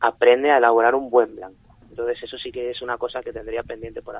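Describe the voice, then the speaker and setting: A man speaks at a very fast pace. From Elche, Alicante, Spain. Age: 30s. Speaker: winemaker and wine sales director. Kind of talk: radio interview. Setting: radio studio.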